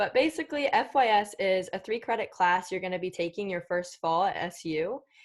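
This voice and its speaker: A woman in a normal speaking voice with an American accent, medium pitch, ordinary pitch variation and moderate pace, in a very clean recording with a silent background. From Virginia, Winchester. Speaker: student mentor. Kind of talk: presentation.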